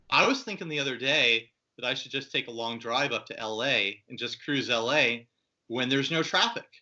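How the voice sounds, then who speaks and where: Using an ordinary speaking voice, a man speaks at a moderate pace and medium pitch with ordinary pitch variation. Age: 30s. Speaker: guitar podcast host and youtuber. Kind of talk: casual chat.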